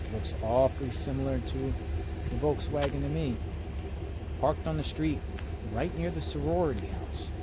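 A man at a fairly slow pace with ordinary pitch variation and long, frequent pauses, against noticeable background noise. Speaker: vlogger. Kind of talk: casual vlog chat. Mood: earnest, ominous. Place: street. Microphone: phone near.

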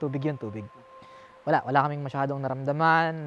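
This man speaks with a fairly high pitch. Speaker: video host, paranormal explorer. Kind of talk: casual vlog, Taglish. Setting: outdoors at night at a bridge.

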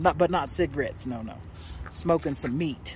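Light background noise accompanies a woman speaking at a moderate pace. The sound is dry with no echo. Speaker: vlogger. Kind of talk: casual vlog chat. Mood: relaxed, slightly apologetic. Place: open country. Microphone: phone near.

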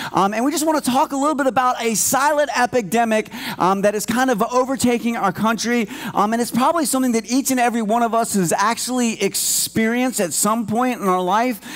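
A man speaks at a very fast pace. His pitch is extremely high, with ordinary pitch variation. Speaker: church team member preaching. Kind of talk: sermon. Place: church. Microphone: headset.

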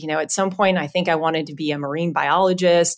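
In a normal speaking voice, a woman talks at a fairly low pitch with ordinary pitch variation, on a very clean recording with a silent background. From Southern California. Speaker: payments executive at a bank. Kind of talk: interview.

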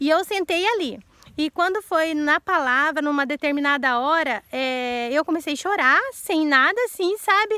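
A woman projects a raised, high-pitched voice with a bright, sharp tone and lively intonation, speaking at a fairly slow pace. The sound is dry with no echo, and the background is quiet. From Brazil. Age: 40s. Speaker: YouTuber. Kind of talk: casual Q&A vlog; casual vlog chat. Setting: outdoors. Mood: earnest, emotional, sometimes indignant. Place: garden. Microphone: phone near.

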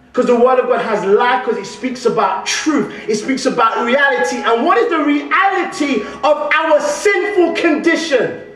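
Over light background noise and audible room echo, a man speaks at an extremely high pitch with very wide pitch swings. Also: moderate pace. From London. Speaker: guest preacher. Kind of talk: sermon. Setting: church. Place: church. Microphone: podium.

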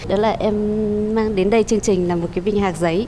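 Light background noise sits under a woman's voice. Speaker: game show contestant. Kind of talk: TV talk show interview. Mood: warm, smiling, slightly shy. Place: studio. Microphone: lapel.

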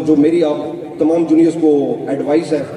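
A man keeps a moderate pace while the room echo is audible and background noise is noticeable. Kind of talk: speech. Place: hall. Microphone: podium.

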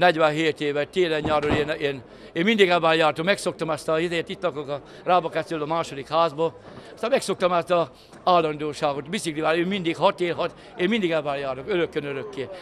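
Light background noise sits behind a man talking very fast at a fairly high pitch. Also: ordinary pitch variation. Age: 60s. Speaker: factory worker. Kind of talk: interview. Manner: halting. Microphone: handheld.

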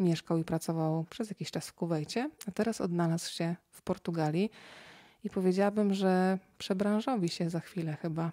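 A woman speaks at a fairly low pitch with a dark, mellow tone, ordinary pitch variation, a moderate pace and big swings in loudness. The recording is very clean, with a silent background, and the sound is dry and close with no echo. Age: 30s. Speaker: interviewer. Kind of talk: casual chat. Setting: at home on a rug.

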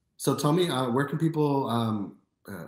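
With an American accent and lively intonation, a man at a medium pitch speaks amid audible room echo. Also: quiet background. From US Midwest, Chicago. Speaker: podcast host. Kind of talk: casual interview. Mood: friendly, smiling. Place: home room.

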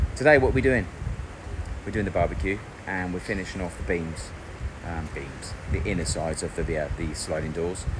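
Noticeable background noise runs under the recording. A man speaks over it at a fairly quick pace. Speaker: home builder vlogger. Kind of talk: casual vlog chat. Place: garden. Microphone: phone near.

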